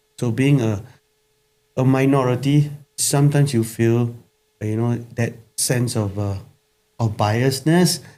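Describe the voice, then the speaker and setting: At a moderate pace, a man with a Singaporean accent talks at a medium pitch, with a dark, mellow tone and ordinary pitch variation. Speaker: pastor. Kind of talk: casual chat. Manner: halting.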